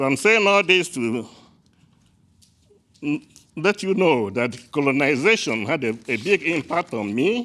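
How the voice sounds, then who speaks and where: With a Nigerian accent, a man talks at a fairly slow pace, taking long, frequent pauses. His tone is bright and sharp, and his pitch swings very widely. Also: fairly high pitch for a man. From Nigeria (Igbo, southeast). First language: Igbo. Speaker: public presenter at legislative committee. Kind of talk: public testimony. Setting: legislative committee room. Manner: halting, with self-corrections.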